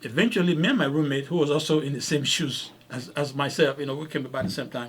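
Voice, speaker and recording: A man with a slight non-native accent speaks with lively intonation. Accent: slight foreign. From Africa. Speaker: podcast host, doctor. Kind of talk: casual podcast storytelling. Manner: repetitive, halting with restarts.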